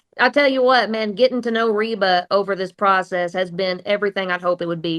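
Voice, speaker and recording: Speaking at a moderate pace, a woman with an Oklahoma accent uses a medium pitch. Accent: Oklahoma twang. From southeast Oklahoma, Atoka. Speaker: country singer. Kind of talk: radio interview.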